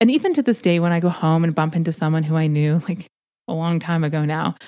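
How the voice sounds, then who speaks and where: With a western Canadian accent, a woman talks at a fairly quick pace in a dark, mellow tone, recorded dry and close with no echo. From Canada, rural southern Alberta. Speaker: podcast host, career coach for PhDs. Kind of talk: solo podcast monologue, advice talk.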